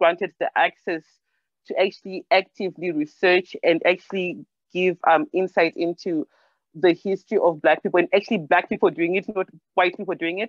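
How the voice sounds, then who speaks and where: The speaker has a Zimbabwean accent and keeps a fairly quick pace. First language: Shona. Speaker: storyteller and discussion participant. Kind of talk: Q&A discussion. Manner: halting, many fillers.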